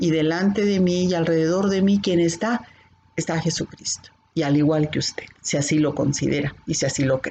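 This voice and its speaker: A woman with fairly low pitch, ordinary pitch variation and a moderate pace. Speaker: bible teacher. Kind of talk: bible class. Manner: can sound stern or scolding.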